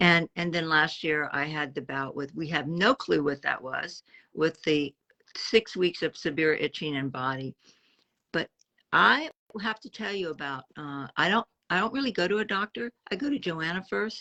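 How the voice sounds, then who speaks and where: A woman's fairly low voice with a bright, sharp tone and lively intonation. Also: moderate pace, dry, close sound with no echo. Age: 70s. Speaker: interviewee sharing health journey. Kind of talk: casual interview.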